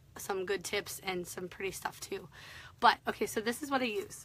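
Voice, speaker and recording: Speaking at a fairly slow pace, a woman has a bright, sharp tone and a medium pitch. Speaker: craft tutorial host. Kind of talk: live-stream tutorial. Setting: social media live video. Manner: chatty, filler-heavy.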